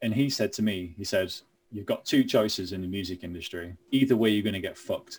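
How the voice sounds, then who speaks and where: A man speaks with a Lancashire accent. His pace is fairly quick. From Lancashire, northern England (Burnley). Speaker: heavy metal musician. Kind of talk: casual interview.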